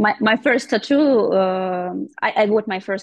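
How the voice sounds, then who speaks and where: A woman with a Russian accent, recorded with a dry, close sound with no echo against a quiet background. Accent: Russian accent, non-native English. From Russia, small town. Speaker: painter and tattoo artist. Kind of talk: interview. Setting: video call. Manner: halting.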